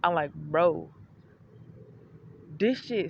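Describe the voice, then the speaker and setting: A woman speaks in an animated tone at a fairly low pitch. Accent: Detroit. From Detroit, Michigan, US. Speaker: vlogger. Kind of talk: casual vlog monologue.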